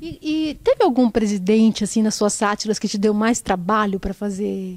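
With an unremarkable speaking voice, a woman talks at a fairly high pitch with ordinary pitch variation over a quiet background. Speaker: interviewer. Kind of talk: casual interview. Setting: backstage. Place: hall. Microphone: handheld.

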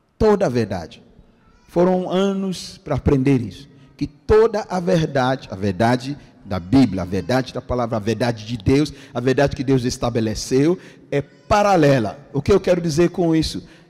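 Very wide pitch swings from a man, quiet background behind. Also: moderate pace. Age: 50s. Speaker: pastor. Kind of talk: sermon. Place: church. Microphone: handheld.

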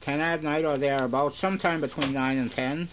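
In an American accent, a man talks in a normal speaking voice with a fairly high pitch and fairly even intonation. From Massachusetts, USA. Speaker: radio station owner and operator. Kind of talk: radio broadcast announcement. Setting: radio station, recorded off-air from a broadcast. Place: studio. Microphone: old recording.

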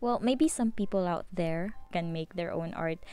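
A woman with a fairly low pitch uses an ordinary speaking voice, recorded dry with no echo. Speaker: hobby painter vlogger. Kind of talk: casual vlog voice-over.

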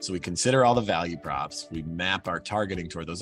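A man's very deep, low voice at a fairly quick pace with ordinary pitch variation, with faint music in the background and a dry sound with no echo. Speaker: guest. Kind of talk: interview answer. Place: office. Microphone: video call.

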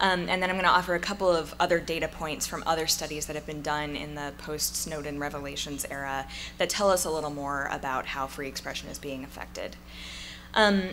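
A woman with a very deep, low pitch, ordinary pitch variation and big swings in loudness, at a fairly quick pace over light background noise. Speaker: speaker. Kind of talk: conference talk. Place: hall. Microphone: podium.

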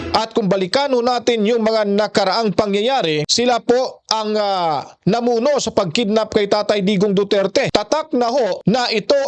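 Through noticeable background noise, a man speaks at a high pitch with ordinary pitch variation and a moderate pace. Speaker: news reaction video host. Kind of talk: news commentary.

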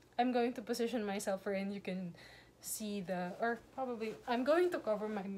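A woman speaks at a fairly quick pace in a medium pitch, with a slightly mellow tone and ordinary pitch variation.

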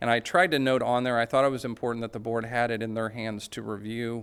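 A man's monotone, flat delivery on a very clean recording with a silent background. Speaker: school district administrator. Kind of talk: board meeting presentation. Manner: fast.

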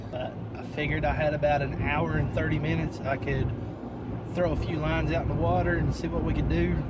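Loud background noise runs under the recording. A man speaks at a moderate pace, the sound dry with no echo. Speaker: fishing vlogger. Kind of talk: casual vlog chat. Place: car. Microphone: phone near.

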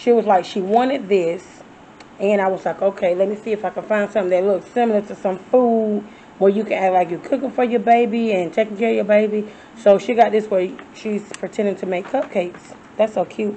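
A woman speaks at a fairly quick pace with fairly even intonation over light background noise. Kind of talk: casual vlog chat. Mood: cheerful, amused. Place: home room. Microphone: phone near.

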